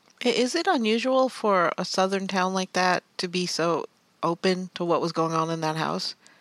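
A woman with a normal speaking voice, medium pitch and ordinary pitch variation, at a moderate pace, in a dry, close sound with no echo. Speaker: podcast co-host. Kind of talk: casual interview chat.

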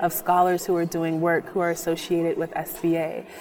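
A woman's fairly low-pitched voice comes through noticeable background noise. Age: 20s. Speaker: archaeologist. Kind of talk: interview conversation.

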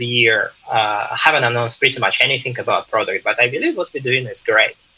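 A man's voice over noticeable background noise. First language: Russian. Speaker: tech executive. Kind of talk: interview. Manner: halting.

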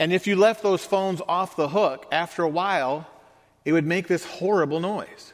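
A man speaks at a high pitch with fairly even intonation. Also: moderate pace. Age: 50s. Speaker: pastor. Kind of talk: sermon.

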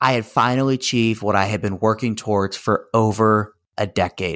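Over a very clean recording with a silent background, a man with a plain, everyday voice and an American accent speaks at a moderate pace with a fairly low pitch and fairly even intonation, in a dry, close sound with no echo. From US Midwest, Saint Louis. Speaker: podcast host, marketing agency owner. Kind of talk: solo podcast monologue, personal story.

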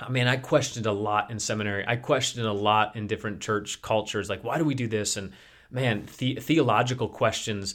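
On a very clean recording with a silent background, a man with an American accent and a normal speaking voice talks fairly quickly at medium pitch. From US Midwest (Detroit suburbs, Chicago suburbs). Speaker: pastor. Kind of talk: casual chat.

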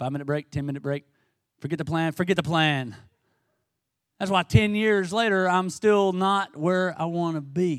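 Very clean recording with a silent background, a man at a high pitch and moderate pace, ordinary pitch variation, and long, frequent pauses. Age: 40s. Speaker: pastor. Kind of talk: sermon. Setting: church. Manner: animated.

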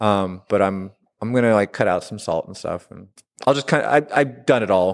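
A man with an American accent and an ordinary speaking voice, fairly low-pitched, in a very clean recording with a silent background. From US Midwest, southern rural Illinois. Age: 30s. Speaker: gym member, weight-loss story. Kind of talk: casual interview.

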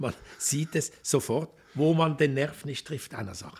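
On a very clean recording with a silent background, a man speaks with vocal fry. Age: 60s. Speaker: anthroposophy lecturer and educator. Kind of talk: interview conversation. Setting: cultural centre, Basel.

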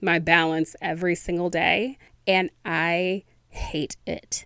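A woman's fairly low-pitched voice has a bright, sharp tone and fairly even intonation, the sound dry and close with no echo. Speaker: podcast host. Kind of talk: solo monologue podcast. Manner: casual, laughs often.

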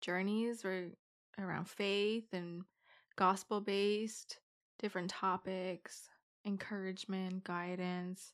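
At a very slow pace, a woman speaks with a medium pitch. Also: very clean recording, silent background. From Ireland. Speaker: podcast co-host. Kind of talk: casual chat. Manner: laughs often.

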